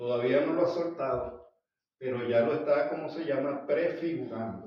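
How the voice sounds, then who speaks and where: Audible room echo surrounds a man speaking at a fairly slow pace. His medium-pitched voice has lively intonation. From Venezuela. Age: 70s. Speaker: Bible teacher. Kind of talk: Bible study lecture.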